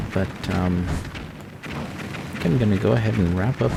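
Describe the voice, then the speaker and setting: A man with an American accent speaks in a very deep, low voice over noticeable background noise. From USA. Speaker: gaming YouTuber. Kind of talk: let's play commentary. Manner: casual.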